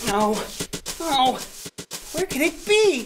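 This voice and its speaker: A put-on character voice, high in pitch and whiny. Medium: puppet show. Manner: worried, whiny.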